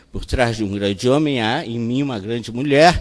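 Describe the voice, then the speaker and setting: Using a normal speaking voice, a man talks at a fairly slow pace with a medium pitch and ordinary pitch variation. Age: 60s. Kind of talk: talk at a panel.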